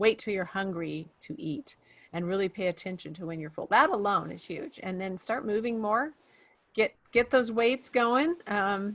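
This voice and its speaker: A woman speaks in a normal speaking voice at medium pitch and a moderate pace. Her intonation is lively, with big swings in loudness. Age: 60s. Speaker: podcast host. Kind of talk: interview podcast.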